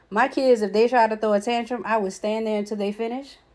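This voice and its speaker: This woman's dark, mellow tone comes through in a very clean recording with a silent background. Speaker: spiritual healer giving parenting advice. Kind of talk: casual advice monologue.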